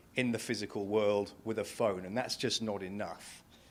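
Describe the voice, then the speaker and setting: A man at medium pitch and moderate pace, very clean recording, silent background. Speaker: payments industry analyst. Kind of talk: conference talk. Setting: stage with audience. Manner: loud.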